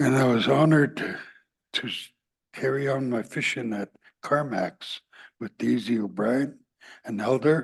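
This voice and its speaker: Using long, frequent pauses, a man talks at a fairly slow pace and medium pitch with ordinary pitch variation and vocal fry. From Yukon, Canada (Whitehorse), First Nations. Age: 70s. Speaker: First Nation elder and fisher. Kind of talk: testimony. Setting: public meeting in person.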